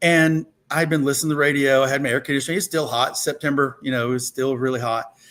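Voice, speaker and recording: A man with an Alabama accent, fairly high-pitched and very fast, on a very clean recording with a silent background. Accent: Southern US (Alabama). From US South, rural Alabama (Thomasville). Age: 60s. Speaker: political candidate, lawyer. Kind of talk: interview. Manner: casual storytelling.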